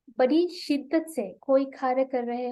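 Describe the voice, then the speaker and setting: Speaking with a Sri Lankan accent, a woman uses a high pitch with ordinary variation. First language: Sinhala (speaking Hindi). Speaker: Hindi researcher and YouTuber teaching Hindi. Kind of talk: web seminar talk. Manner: hesitant, frequent filler 'a'.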